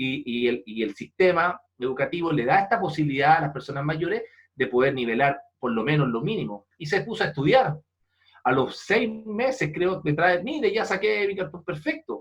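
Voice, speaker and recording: A man with a Chilean accent, moderate pace and very wide pitch swings. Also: fairly high pitch for a man. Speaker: leadership speaker and foundation president. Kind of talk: interview. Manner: animated storytelling.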